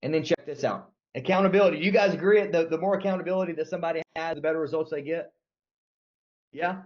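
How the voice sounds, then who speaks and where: A man with a Southern US accent and an animated tone. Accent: Southern US accent, milder than before. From US South. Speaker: sales trainer. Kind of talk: sales training.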